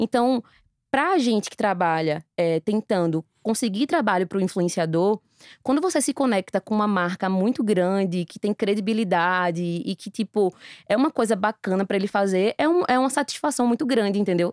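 A woman with an ordinary speaking voice talks at a moderate pace with lively intonation and a medium pitch. The sound is dry and close, with no echo. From Recife, Brazil. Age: 30s. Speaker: influencer marketing entrepreneur. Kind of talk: casual interview.

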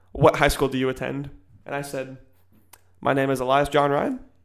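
A man's fairly high voice carries his words at a moderate pace. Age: young. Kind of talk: casual chat. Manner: animated.

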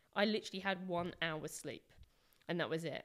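A woman with an English accent, fairly low in pitch, with fairly even intonation. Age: 30s. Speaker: activist. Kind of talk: casual interview.

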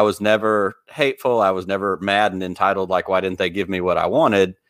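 This man has a plain, everyday voice with an American accent. He talks at a fairly quick pace, fairly low in pitch, with ordinary pitch variation. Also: hardly any pauses. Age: 40s. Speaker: podcast host. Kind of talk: casual chat. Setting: live stream.

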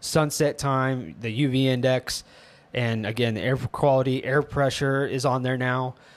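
This is an ordinary speaking voice from a man, medium in pitch. He talks fairly slowly with fairly even intonation. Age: 30s. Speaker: tech podcast host. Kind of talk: casual chat.

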